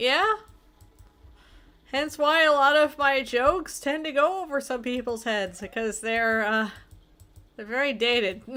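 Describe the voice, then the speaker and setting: Her raised, projected voice is high-pitched with a bright, sharp tone, and this woman speaks at a fairly slow pace with lively intonation and long, frequent pauses. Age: 30s. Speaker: streamer. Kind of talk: casual chat.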